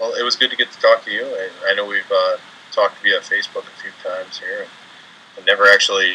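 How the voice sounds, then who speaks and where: In an Upper Michigan accent, a man talks at a very fast pace with big swings in loudness. Noticeable background noise runs underneath. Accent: Yooper, sounds Canadian to others. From Upper Peninsula of Michigan. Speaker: paranormal investigator. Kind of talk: interview. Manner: halting, repeats words.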